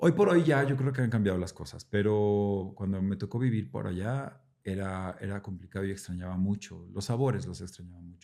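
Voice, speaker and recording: The voice is dark and mellow, with ordinary pitch variation. It moves at a fairly quick pace with hardly any pauses. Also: man, fairly low pitch for a man. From central Mexico (Mexico City, Puebla, San Luis Potosí). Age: 40s. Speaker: actor. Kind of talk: casual interview chat. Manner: casual, with filler words and repetitions.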